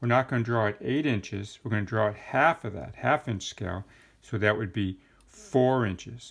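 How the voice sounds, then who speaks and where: This is a man with a plain, everyday voice. Medium in pitch, it rises and falls by an ordinary amount. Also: moderate pace. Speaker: carpentry instructor. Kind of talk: tutorial.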